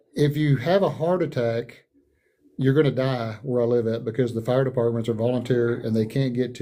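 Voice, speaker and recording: In a room with audible echo, a man speaks fairly quickly at a medium pitch with a dark, mellow tone. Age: 60s. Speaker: political candidate. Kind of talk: town hall interview. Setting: online livestream. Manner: animated; halting.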